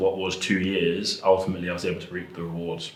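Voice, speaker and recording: Someone with an English accent talks at a very fast pace, with noticeable background noise and audible room echo. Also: man. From England. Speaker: rugby and American football player. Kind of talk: interview. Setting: school.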